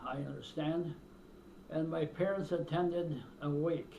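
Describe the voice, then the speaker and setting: A man with an American accent speaks at a high pitch in a flat monotone. He goes at a fairly slow pace, with audible room echo. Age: 90s. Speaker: elderly interviewee recounting his life. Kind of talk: oral history interview. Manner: halting, with hesitations.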